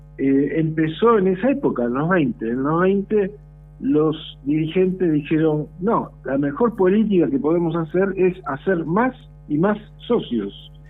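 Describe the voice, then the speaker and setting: Speaking fairly slowly over background music, a man has a high pitch and lively intonation. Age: 60s. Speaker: historian and professor. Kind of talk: radio interview. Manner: talkative, many fillers.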